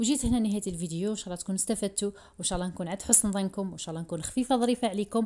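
Speaking very fast with hardly any pauses, a woman uses a medium pitch, ordinary pitch variation, and a dark, mellow tone. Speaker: cooking youtuber. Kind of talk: cooking tutorial.

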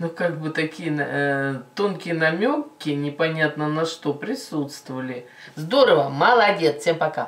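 A woman speaks at a fairly slow pace with a very deep, low pitch. Her pitch variation is ordinary. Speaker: video reactor. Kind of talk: casual reaction commentary. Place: home room. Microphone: camera far.

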